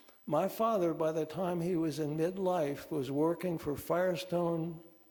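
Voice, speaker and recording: A man's fairly high-pitched voice has a dark, mellow tone and fairly even intonation. He speaks at a fairly slow pace, with audible room echo. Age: 80s+. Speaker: author. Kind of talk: conversation at a church talk. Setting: congregation gathering. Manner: halting.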